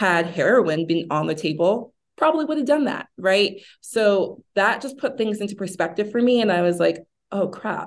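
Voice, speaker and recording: Against a quiet background, a woman speaks in a plain, everyday voice at medium pitch. Her pace is moderate and her intonation lively. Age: 30s. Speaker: sober lifestyle advocate and founder. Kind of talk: interview about personal recovery.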